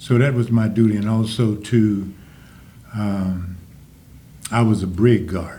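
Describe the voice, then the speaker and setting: A man with a Louisiana accent speaks at a fairly slow pace, his fairly low voice somewhat breathy with a dark, mellow tone. His intonation is fairly even, long pauses come often, and audible room echo surrounds him. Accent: Southern US, Louisiana. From US South, Jennings, Louisiana. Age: 80s+. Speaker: Vietnam war veteran. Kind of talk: interview.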